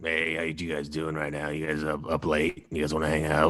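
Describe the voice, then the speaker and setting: A raspy, put-on character voice at a fairly quick pace, flat and monotone. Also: man, very deep, low pitch for a man. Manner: creepy, overly friendly.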